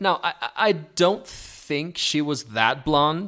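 Speaking very slowly with an Argentine accent, a man has a bright, sharp tone. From Argentina, Neuquén (Patagonia). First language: Spanish. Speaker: musical theatre performer. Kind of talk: casual interview chat. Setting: remote call from Mexico.

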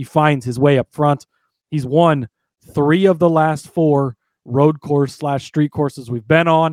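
Fairly even intonation at a fairly slow pace, with a dry, close sound, no echo, and a very clean recording over a silent background. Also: man. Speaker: podcast co-host. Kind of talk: casual sports betting chat. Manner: casual, rambling, halting.

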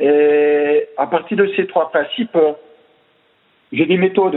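A high-pitched man with an Alsatian accent, very slow in pace, with ordinary pitch variation. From Alsace, France. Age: 50s. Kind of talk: interview. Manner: hesitant, many repetitions. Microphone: unstable network connection.

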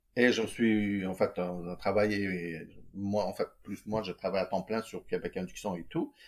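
Speaking at a fairly slow pace, a man with a fairly low pitch keeps his intonation fairly even on a very clean recording with a silent background. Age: 40s. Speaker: entrepreneur, electrical engineer. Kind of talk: casual interview. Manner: hesitant, many fillers.

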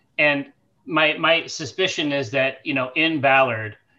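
A bright, sharp voice comes through at a fairly slow pace over a quiet background. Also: man. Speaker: tabletop game player. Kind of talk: casual tabletop roleplaying chat.

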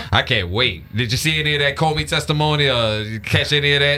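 Speech races along at a very fast pace amid noticeable background noise. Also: man, fairly high pitch for a man, ordinary pitch variation, very even loudness. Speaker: radio host. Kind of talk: casual, slangy. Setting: radio studio.

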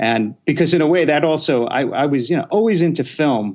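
A man speaks at a moderate pace with a slight New York accent and ordinary pitch variation. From Queens, New York. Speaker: film director. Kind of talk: casual interview chat.

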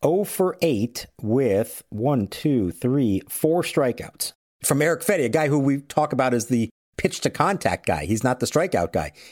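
The voice moves through very wide pitch swings with vocal fry and very even loudness at a moderate pace, recorded very clean, dry and close with no echo and a silent background. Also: man. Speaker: baseball reporter. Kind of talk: sports analysis chat. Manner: measured, conversational.

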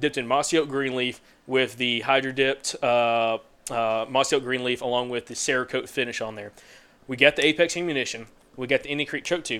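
A fairly quick man's voice of medium pitch with a Southern US accent, on a very clean recording with a silent background. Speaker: hunting podcast host. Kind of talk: casual chat. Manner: animated.

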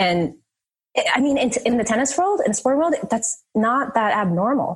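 A woman with an American accent speaks in a plain, everyday voice at a fairly high pitch and a moderate pace. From New Jersey. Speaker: former pro tennis player, real estate investor. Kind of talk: interview.

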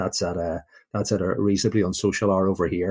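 Very deep, low-pitched man with a Northern Irish accent, somewhat breathy, at a fairly quick pace, in a dry, close sound with no echo. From Belfast, Northern Ireland. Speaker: Jets fan, listener spotlight guest. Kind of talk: casual interview chat. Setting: remote call from UK. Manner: chatty, upbeat.

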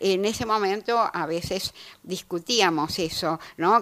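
With a Rioplatense accent, a woman speaks at a medium pitch with ordinary pitch variation. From Buenos Aires, Argentina. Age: 80s. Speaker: novelist. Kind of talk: radio interview, conversational.

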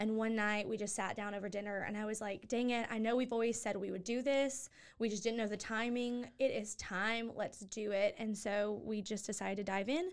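In a very clean recording with a silent background, a woman talks at a fairly quick pace. She has a plain, everyday voice, fairly high in pitch, with fairly even intonation. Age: 20s. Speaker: nonprofit co-founder. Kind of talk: interview.

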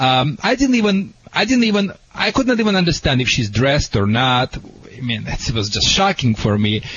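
A man with a Russian accent talks at a moderate pace and medium pitch, his pitch swinging very widely while his loudness stays very even, over noticeable background noise. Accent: foreign accent, Russian. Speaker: dog trainer. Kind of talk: advice answers to callers. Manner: animated.

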